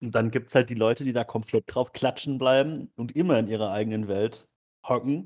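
A man talks fairly quickly in an ordinary speaking voice. His pitch is medium for a man, and his intonation stays fairly even. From rural Germany. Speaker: podcast co-host. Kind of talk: casual chat.

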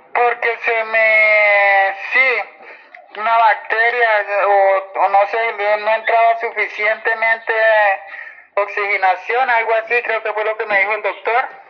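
Over noticeable background noise, a woman speaks at a very slow pace and fairly high pitch with a monotone, flat intonation. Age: 40s. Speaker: former soldier, interviewee. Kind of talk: testimony.

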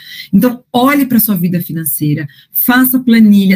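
A woman speaks fairly quickly, somewhat breathy, with lively intonation. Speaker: financial educator and coach. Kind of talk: interview. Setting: podcast.

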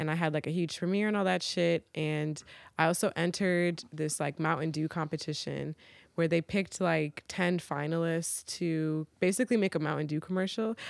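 An unremarkable speaking voice at a moderate pace and very even loudness, on a very clean recording with a silent background. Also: woman, fairly low pitch for a woman. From Virginia, US (military family, moved around). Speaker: recording artist and video editor. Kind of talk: casual chat. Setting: studio.

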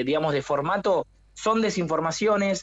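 This man speaks at a moderate pace. His pitch rises and falls in an ordinary way. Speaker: fact-checking media director. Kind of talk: radio interview.

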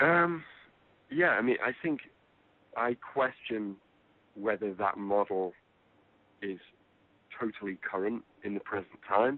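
With an English accent, a man speaks at a fairly slow pace in a fairly low pitch, his intonation lively and his pauses long and frequent. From England. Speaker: film producer. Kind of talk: interview.

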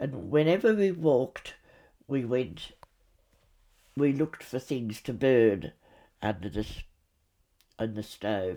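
A woman with an Australian accent and a very deep, low pitch, dark and mellow in tone, very slow, with very wide pitch swings and long, frequent pauses. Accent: Australian, older generation. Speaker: grandmother recounting childhood memories. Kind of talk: storytelling memoir, recounting memories.

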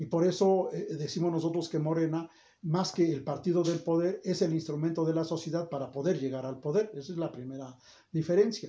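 A man's high voice with fairly even intonation. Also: fairly quick pace. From Mexico, State of Mexico (Toluca area). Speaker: academic and political aspirant. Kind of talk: interview. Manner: formal.

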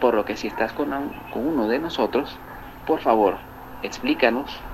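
Noticeable background noise sits under speech that keeps a moderate pace and ordinary pitch variation. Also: man. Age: 40s. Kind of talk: short advice segment.

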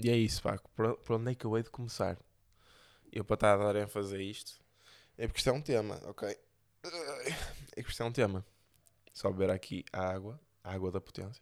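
A man with a European Portuguese accent, fairly low pitch and fairly quick pace, broken by long, frequent pauses. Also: ordinary pitch variation, very clean recording, silent background. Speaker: podcast host. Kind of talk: casual monologue.

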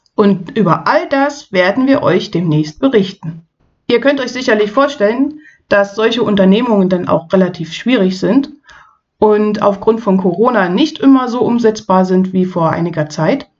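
The speaker has a plain, everyday voice and lively intonation. The pace is moderate. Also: woman, medium pitch for a woman. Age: 40s. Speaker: podcast host and parent. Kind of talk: casual chat.

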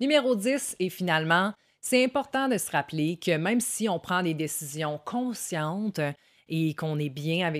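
Over a silent background on a very clean recording, a woman with a Quebec accent speaks at a moderate pace in a fairly low voice with lively intonation. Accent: Québécois French. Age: 30s. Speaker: content creator. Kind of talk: self-help monologue. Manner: casual.

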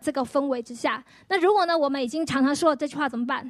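A woman speaks at a high pitch with ordinary pitch variation. The recording is very clean and the background silent. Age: 40s. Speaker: pastor. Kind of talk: testimony.

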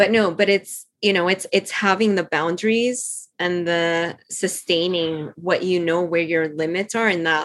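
A woman with a Spanish accent, her pitch fairly low and her pace fairly slow. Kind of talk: casual chat. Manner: animated, laughing often.

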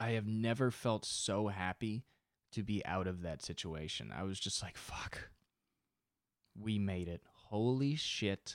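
A man with an unremarkable speaking voice and a fairly low pitch talks at a fairly slow pace with ordinary pitch variation, on a very clean recording with a silent background. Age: 20s. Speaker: podcaster and comedian. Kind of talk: solo comedy podcast monologue, casual. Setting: home recording, solo. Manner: self-deprecating, rambling, casual.

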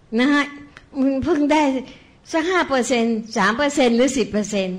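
The woman's voice sits high. Her intonation shows ordinary variation. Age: old. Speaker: Buddhist meditation practitioner. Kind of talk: spiritual testimony.

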